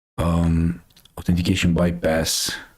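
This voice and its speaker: In a Romanian accent, a man talks at a very slow pace, his very deep, low voice somewhat breathy. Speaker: cybersecurity news streamer. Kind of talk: casual live stream commentary. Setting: live stream. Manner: hesitant, many fillers.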